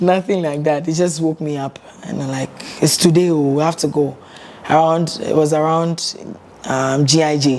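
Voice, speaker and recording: A woman's very deep, low voice at a moderate pace, with fairly even intonation and noticeable background noise. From Ghana. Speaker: singer. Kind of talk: interview.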